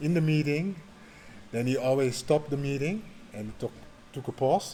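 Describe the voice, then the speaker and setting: A man with a Dutch accent, fairly high in pitch, with ordinary pitch variation. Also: moderate pace. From Netherlands. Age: 40s. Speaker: social worker. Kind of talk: interview. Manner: halting.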